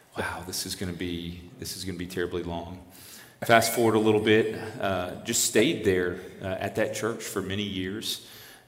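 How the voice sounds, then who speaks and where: A man with an American accent and a fairly low pitch speaks at a moderate pace with fairly even intonation and big swings in loudness, with audible room echo. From South Louisiana, Lafayette (Cajun area). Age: 50s. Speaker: campus ministry missionary. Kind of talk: interview testimony.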